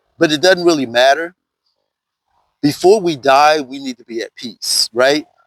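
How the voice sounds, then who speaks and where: A man speaks at a moderate pace and fairly high pitch, with long, frequent pauses. His loudness swings widely, and the sound is dry and close, with no echo. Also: ordinary pitch variation. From US South. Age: 60s. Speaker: vlogger. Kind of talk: casual vlog monologue.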